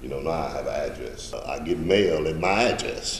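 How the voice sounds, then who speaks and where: The speech moves at a moderate pace. There is audible room echo and noticeable background noise. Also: man. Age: 60s. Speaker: formerly homeless client. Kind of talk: testimony. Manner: halting.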